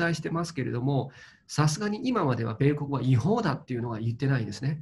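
The somewhat breathy voice carries a Chinese accent and very wide pitch swings over light background noise. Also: man. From China. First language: Chinese (speaking Japanese). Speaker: crypto investment commentator. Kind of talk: interview commentary. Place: home room. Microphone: webcam.

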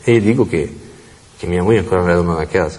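At a very fast pace, a man talks in a very deep, low pitch. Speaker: convicted prisoner; interviewee. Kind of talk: interview. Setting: prison. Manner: halting. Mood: earnest, troubled recounting. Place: hall. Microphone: lapel.

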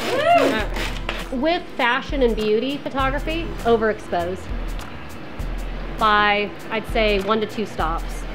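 Clear music plays in the background as a woman talks with lively intonation at a fairly high pitch. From Poland. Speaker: photographer and professor. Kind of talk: casual talk during photo shoot. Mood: warm, encouraging. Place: studio.

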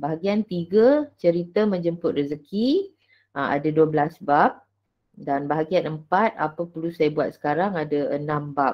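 Against a quiet background, a woman with a very deep, low voice speaks at a fairly slow pace with ordinary pitch variation. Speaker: teacher giving book review. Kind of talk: book review presentation. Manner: hesitant, many fillers. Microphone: webcam.

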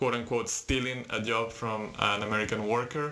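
The speaker is a man. He talks at a fairly slow pace in a monotone, flat intonation. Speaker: presenter. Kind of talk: tutorial. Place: home room. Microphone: webcam.

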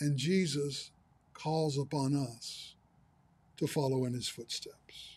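A man with a fairly high, somewhat breathy voice speaks at a very slow pace in fairly even intonation, with long, frequent pauses. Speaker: pastor. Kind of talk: sermon. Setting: livestream broadcast.

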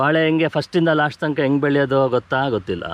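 With an unremarkable speaking voice, the man talks at a fairly high pitch and with ordinary pitch variation. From Bengaluru, India. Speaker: natural farmer and farming trainer. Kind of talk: interview. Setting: outdoors on a farm.

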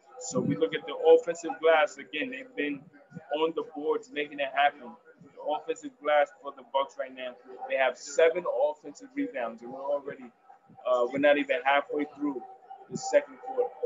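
A man speaks at a moderate pace in a fairly high pitch, with lively intonation. His loudness swings widely, and there is light background noise. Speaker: sports commentator. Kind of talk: live play-by-play sports commentary. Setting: solo recording, commentating over a game broadcast. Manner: animated, vivid, fluent; fluent with some filler pauses. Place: home room. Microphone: webcam.

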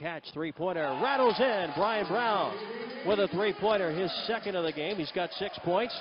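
In an excited tone, a man speaks at a moderate pace with lively intonation, the sound dry with no echo but with noticeable background noise. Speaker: basketball play-by-play announcer. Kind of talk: live play-by-play sports commentary. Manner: excited, rising energy on made threes. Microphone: headset.

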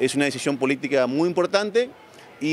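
Over light background noise, a man talks at a fairly quick pace, the sound dry with no echo. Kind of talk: interview answer. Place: market. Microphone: handheld.

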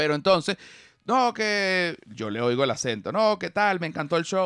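A man's high pitch with very wide pitch swings at a fairly slow pace, in a dry sound with no echo and a quiet background. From Venezuela. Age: 40s. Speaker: comedian. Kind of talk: casual chat. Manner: animated. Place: studio. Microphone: studio mic.

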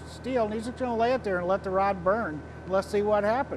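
A man with a high pitch and fairly even intonation talks at a fairly quick pace over noticeable background noise. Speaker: welding product demonstrator. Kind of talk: tutorial. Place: workshop. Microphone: lapel.

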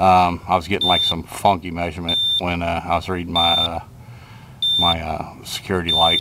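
The pace is moderate, and the sound is dry with no echo. Loud noise fills the background. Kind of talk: tutorial. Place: street.

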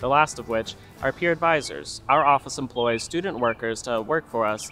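A man talks at a very fast pace with clear music in the background. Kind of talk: informational presentation. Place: open country.

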